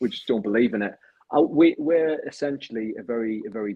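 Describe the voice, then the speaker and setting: This is a man speaking. He has a northeastern English accent. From northeast England, Sunderland. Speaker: crypto project community leader. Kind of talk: casual chat.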